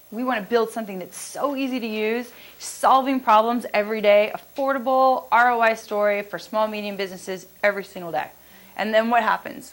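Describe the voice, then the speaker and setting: Her pitch is fairly high, with ordinary pitch variation and big swings in loudness. The woman talks at a fairly quick pace. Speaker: product manager presenting at a business seminar. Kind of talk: conference presentation; audience Q&A. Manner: fast.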